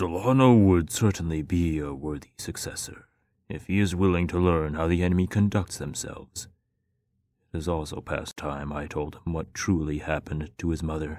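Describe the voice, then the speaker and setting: A rumbling, put-on character voice moves at a moderate pace on a very clean recording with a silent background. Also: man, very deep, low pitch for a man. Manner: grave, measured.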